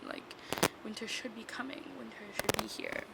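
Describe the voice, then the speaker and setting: Against noticeable background noise, a woman speaks quietly at a fairly quick pace. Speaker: podcast host. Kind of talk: casual chat. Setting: shared room with others present. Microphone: mic without cover, audio may be bad.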